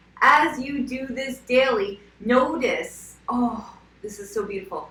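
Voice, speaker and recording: A woman with a fairly high pitch against noticeable background noise. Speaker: skincare and wellness coach. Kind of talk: casual talk to camera. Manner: filler-heavy, repetitive.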